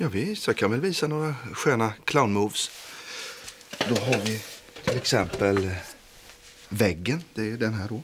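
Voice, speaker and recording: Long, frequent pauses break up the fairly slow speech as loud background noise plays. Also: man. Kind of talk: scripted drama dialogue, rambling anecdote. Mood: self-satisfied, chatty. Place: kitchen.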